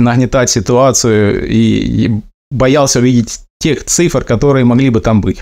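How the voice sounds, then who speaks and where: With ordinary pitch variation and a medium pitch, a man talks in an unremarkable speaking voice. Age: 30s. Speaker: former merchant sailor, ship mechanic. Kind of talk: recorded personal testimony.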